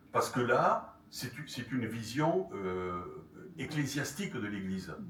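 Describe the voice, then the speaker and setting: With audible room echo and noticeable background noise, a man speaks at a fairly slow pace with lively intonation. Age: 70s. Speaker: retired journalist and author giving a talk. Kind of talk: lecture with audience questions. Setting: conference hall with audience. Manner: halting, many fillers and repetitions.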